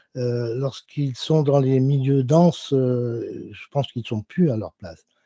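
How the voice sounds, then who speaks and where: A man speaks fairly slowly at medium pitch in a dark, mellow, somewhat breathy tone, with ordinary pitch variation and big swings in loudness. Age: 70s. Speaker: consumer association member. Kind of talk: audience question in online Q&A. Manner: halting.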